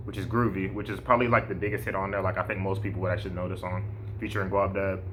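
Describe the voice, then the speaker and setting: In a room with audible echo, a man talks at a fairly low pitch. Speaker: music reviewer / podcast host. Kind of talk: casual album review vlog. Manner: hesitant, many false starts and fillers.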